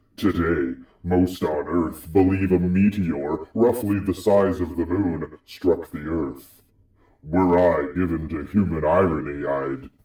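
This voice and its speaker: Using a put-on character voice, a man speaks fairly slowly at a very deep, low pitch with ordinary pitch variation and a slight echo. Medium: audio drama. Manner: grave, measured, portentous.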